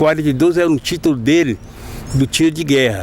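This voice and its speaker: A man is talking with ordinary pitch variation. Noticeable background noise can be heard. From Bahia, Recôncavo (Santo Amaro). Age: 60s. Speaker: capoeira master. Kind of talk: interview.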